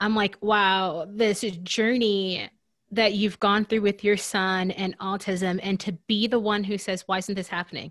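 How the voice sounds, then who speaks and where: A woman speaks with a Southern US accent at a medium pitch. Her pace is moderate and her intonation fairly even. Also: very clean recording, silent background. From US Deep South. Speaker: podcast co-host. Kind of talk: casual chat.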